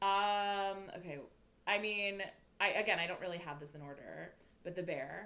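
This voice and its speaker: A woman's bright, sharp voice at medium pitch, moderate pace and ordinary pitch variation, with big swings in loudness, long, frequent pauses and audible room echo. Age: 20s. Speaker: podcast co-host. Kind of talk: casual chat. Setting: in person together.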